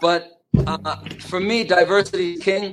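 Here a man speaks in a New York accent. His pitch varies in an ordinary way. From Long Island, New York. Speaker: comedian and impressionist. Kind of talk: casual chat. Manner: animated, energetic.

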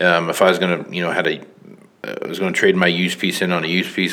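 Over noticeable background noise, a man with a very deep, low voice talks at a very fast pace. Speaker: podcast host. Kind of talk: casual interview.

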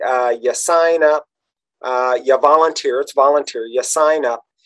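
A man talks in a normal speaking voice at a fairly high pitch and a fairly slow pace. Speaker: podcast host. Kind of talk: casual interview chat.

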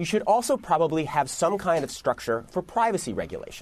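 A man is speaking. His pace is fairly quick. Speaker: magazine editor and news contributor. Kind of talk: TV news interview.

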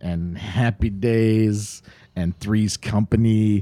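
Dark and mellow in tone, a man with an American accent talks at a fairly low pitch with ordinary pitch variation. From Ohio, US. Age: 40s. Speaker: comedian and improviser. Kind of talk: casual chat.

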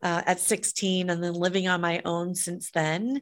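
A woman talks in a plain, everyday voice at medium pitch. Her pace is moderate. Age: 50s. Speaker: event production company CEO and author. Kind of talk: interview. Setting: remote call.

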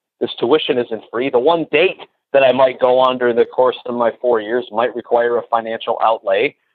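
A man talks at a moderate pace in a normal speaking voice of medium pitch. His intonation stays fairly even. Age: 30s. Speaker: cold calling coach. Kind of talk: interview.

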